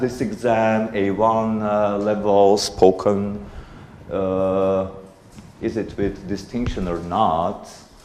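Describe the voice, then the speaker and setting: Speaking at a very slow pace, a man with a fairly low pitch is heard through audible room echo and noticeable background noise. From Armenia. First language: Armenian. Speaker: conference speaker, parent raising bilingual kids. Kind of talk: conference talk. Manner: halting, many fillers.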